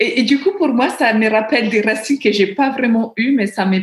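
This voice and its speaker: With an Italian accent, a woman sounds somewhat breathy. Her pitch variation is ordinary. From Italy, small village. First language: Italian (speaking French). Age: 30s. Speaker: book lover and amateur writer. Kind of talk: interview. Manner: halting, with repetitions.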